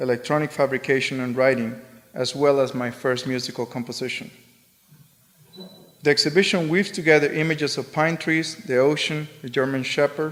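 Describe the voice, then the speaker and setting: A man's fairly high-pitched voice with a Spanish accent, moving at a fairly quick pace. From Spain. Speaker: artist. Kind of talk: lecture. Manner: monotone.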